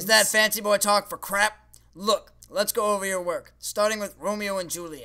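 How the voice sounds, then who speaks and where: A man does a cartoonish character voice, raised and projected, high in pitch with monotone, flat intonation. He keeps a moderate pace in a very clean recording with a silent background. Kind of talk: comedy puppet show dialogue. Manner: sarcastic, dismissive.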